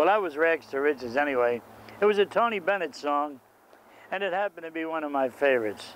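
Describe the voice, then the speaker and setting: This man talks fairly quickly with a North Jersey accent, his pitch fairly high and its variation ordinary. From Jersey City, New Jersey. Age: 70s. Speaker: nightclub and wedding singer, retired bus driver. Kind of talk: interview answer.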